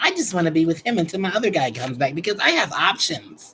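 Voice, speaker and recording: A man with an American accent, high-pitched, very fast, very wide pitch swings, noticeable background noise behind him. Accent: people say it sounds Southern, like Georgia. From US Midwest (Chicago). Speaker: tarot reader. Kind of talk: live stream reading, casual chat. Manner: casual, animated.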